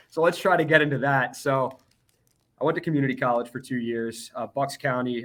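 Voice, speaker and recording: Loud and very fast, a man with an American accent speaks in a bright, sharp tone with lively intonation. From Philadelphia area, Pennsylvania. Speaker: TV sports director. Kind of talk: casual interview.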